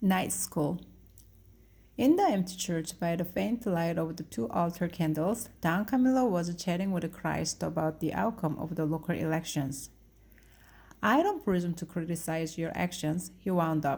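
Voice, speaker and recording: At a moderate tempo, this somewhat breathy voice shows ordinary pitch variation. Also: woman, fairly low pitch for a woman, very clean recording, silent background. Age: 50s. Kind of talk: read story.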